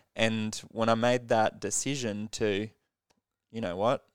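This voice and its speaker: A man speaks with an Australian accent and fairly even intonation. The recording is very clean and dry, with a close sound, no echo, and a silent background. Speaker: podcast host. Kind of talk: casual interview chat.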